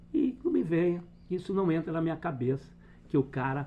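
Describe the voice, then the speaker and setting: A man talks at a moderate pace. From Brazil. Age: 60s. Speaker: football fan commentator. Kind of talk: opinion rant. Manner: animated.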